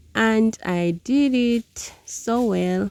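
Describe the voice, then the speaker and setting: A woman speaks in an Ugandan accent with a dark, mellow tone and ordinary pitch variation. The sound is dry and close, without echo. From Uganda (southwestern, Ankole). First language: Runyankole. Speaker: village lifestyle vlogger. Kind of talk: casual cooking vlog narration.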